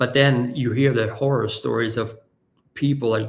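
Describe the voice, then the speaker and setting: Medium-pitched male voice with vocal fry, flat monotone intonation and a moderate pace. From Germany. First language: German. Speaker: marketer and podcast host, guest on a parenting show. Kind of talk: casual interview. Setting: live stream video call.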